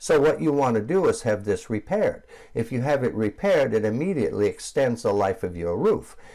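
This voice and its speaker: A man at a medium pitch talks at a fairly quick pace in a dark, mellow tone. His voice shows vocal fry and very wide pitch swings. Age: 60s. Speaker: roof cleaning business owner. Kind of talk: tutorial. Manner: casual, with frequent fillers.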